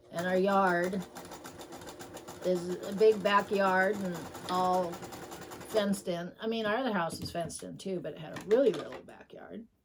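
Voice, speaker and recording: Over noticeable background noise, a woman speaks at a moderate pace with fairly even intonation, big swings in loudness, and long, frequent pauses. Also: medium pitch for a woman. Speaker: quilter. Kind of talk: casual chat. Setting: sewing room.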